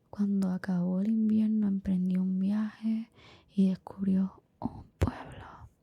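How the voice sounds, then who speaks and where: Someone whispers at a very slow pace. The voice is soft-spoken. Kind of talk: bedtime story narration. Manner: whispered, soft-spoken.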